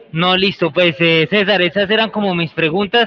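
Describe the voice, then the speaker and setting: A man speaks in a high voice with fairly even intonation. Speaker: university student researcher. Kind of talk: interview. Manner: halting.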